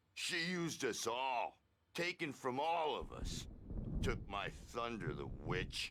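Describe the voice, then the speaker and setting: Someone speaks in a put-on character voice. The pace is fairly slow. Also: man, fairly high pitch for a man. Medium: video game. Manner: laid-back slang, rambling.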